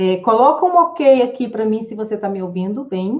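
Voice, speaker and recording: In a normal speaking voice, a woman talks at a fairly slow pace with a fairly high pitch and lively intonation. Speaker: psychologist and wellness teacher. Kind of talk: live online class. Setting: live stream with chat.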